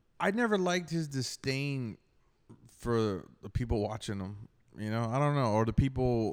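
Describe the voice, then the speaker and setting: Over a silent background in a very clean recording, a man with an ordinary speaking voice talks at a moderate pace and medium pitch with lively intonation. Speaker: stand-up comedian. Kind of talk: casual chat.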